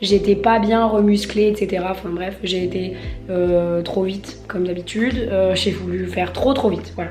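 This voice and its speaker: Music plays in the background as a woman speaks at a moderate pace. Audible room echo is present. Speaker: lifestyle vlogger. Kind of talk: casual vlog.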